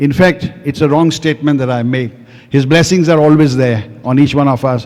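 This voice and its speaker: A man speaks with a fairly high pitch and fairly even intonation. Noticeable background noise runs behind him. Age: 70s. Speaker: devotee giving testimony. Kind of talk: testimony.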